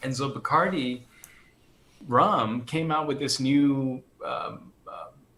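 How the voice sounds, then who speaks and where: A man with an American accent talks at a very slow pace and a fairly high pitch, with ordinary pitch variation. Long, frequent pauses break up his speech over noticeable background noise. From United States, Colombian family. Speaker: orchestral percussionist. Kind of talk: casual interview chat.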